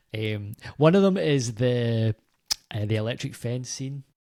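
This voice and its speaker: With a Scottish accent, a man is talking. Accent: Scottish, toned down for recording. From Scotland. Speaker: film podcast panelist. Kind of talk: casual chat.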